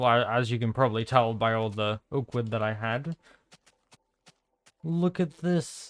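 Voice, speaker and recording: A man at a medium pitch, moderate pace, with long, frequent pauses. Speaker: gaming YouTuber. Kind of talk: gameplay commentary. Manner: soft-spoken; hesitant, many fillers.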